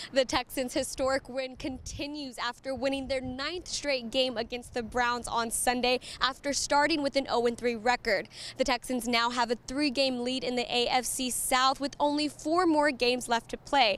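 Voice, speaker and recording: A woman's high-pitched voice at a moderate pace, with fairly even intonation and hardly any pauses. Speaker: sports reporter. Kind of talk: sports news report.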